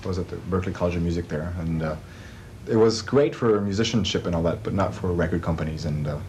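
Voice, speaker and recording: In a very deep, low pitch and with a slight French accent, a man talks at a very fast pace, with noticeable background noise and audible room echo. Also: ordinary pitch variation. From France. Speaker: music producer and composer. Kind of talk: interview. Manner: halting, many fillers.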